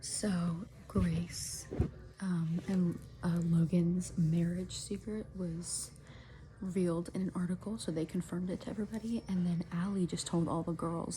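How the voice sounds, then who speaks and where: A woman speaks in a fairly low pitch with a dark, mellow tone. Her voice is somewhat breathy, with ordinary pitch variation. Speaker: booktube reading vlogger. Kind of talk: casual reading vlog. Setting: at grandma's house. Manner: excited, animated; soft-spoken, talking quietly.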